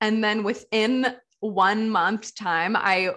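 Against a quiet background, a woman with an American accent speaks very slowly at a fairly high pitch. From US Pacific Northwest (Portland, Oregon). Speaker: wine photographer and entrepreneur. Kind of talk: interview conversation.

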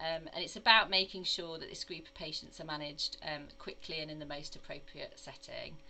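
Talking at a fairly quick pace with hardly any pauses, a woman's voice shows big swings in loudness. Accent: slight Midlands. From English Midlands. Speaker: acute oncology nurse consultant. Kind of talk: casual interview conversation.

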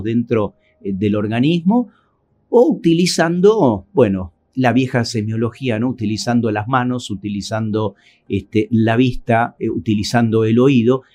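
A man talks at a moderate pace and medium pitch, his intonation lively. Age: 60s. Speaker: cardiologist. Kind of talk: interview. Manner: hesitant, many fillers.

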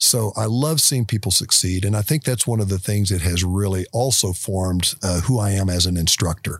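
On a very clean recording with a silent background, a man with an American accent speaks at a moderate pace with hardly any pauses, his fairly low voice somewhat breathy, with ordinary pitch variation and very even loudness. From Oklahoma. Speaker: motorcycle riding instructor. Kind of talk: interview. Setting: at an outdoor expo event.

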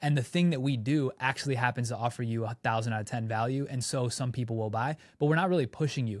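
Talking at a very fast pace with hardly any pauses, a man at medium pitch shows ordinary pitch variation in a very clean recording with a silent background. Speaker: content creator and podcast co-host. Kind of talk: casual brainstorm chat. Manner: animated.

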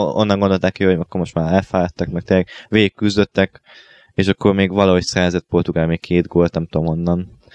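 Very deep and low, this man's voice races along at a very fast pace in a dry, close recording with no echo. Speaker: radio co-host. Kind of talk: casual chat.

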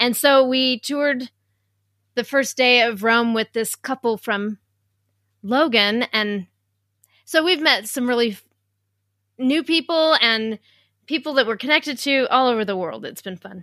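A woman with an American accent and a fairly high, bright, sharp voice speaks with ordinary pitch variation and long, frequent pauses, recorded very cleanly against a silent background with a dry, close sound and no echo. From Utah. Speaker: podcast host. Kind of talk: casual chat.

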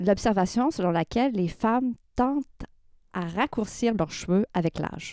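In a dry, close sound with no echo, a woman with a fairly high pitch and a dark, mellow tone speaks at a fairly slow pace with lively intonation. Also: very clean recording, silent background. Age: 50s. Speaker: sociology professor and hairdresser. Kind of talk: radio interview.

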